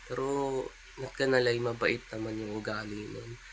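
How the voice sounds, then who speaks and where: Quiet and fairly slow, the voice has fairly even intonation, with noticeable background noise and audible room echo. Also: man. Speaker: vlogger. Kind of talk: casual vlog monologue. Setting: at home, early morning. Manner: quiet, keeping voice down; halting, many fillers.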